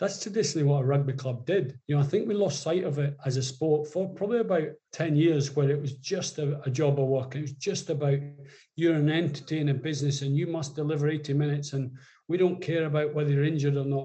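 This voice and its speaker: A man talks very fast at a fairly high pitch. His somewhat breathy voice has a dark, mellow tone. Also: fairly even intonation. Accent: Scottish. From Scotland, Borders (Melrose). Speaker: rugby academy director, former player. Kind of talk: interview. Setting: video call.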